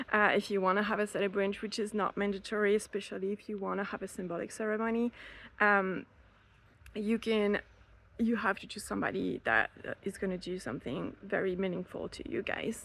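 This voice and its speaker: This woman talks with a French accent at a fairly quick pace. Her pitch sits in the middle range and her intonation stays fairly even. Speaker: elopement photographer and planner. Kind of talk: casual podcast advice talk. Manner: hesitant, many fillers.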